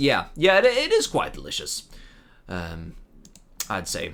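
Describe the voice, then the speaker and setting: A man speaks at a fairly slow pace with a Swedish accent. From Sweden. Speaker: video game streamer. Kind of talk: live gameplay stream chat. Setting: live stream. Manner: casual with frequent fillers and restarts.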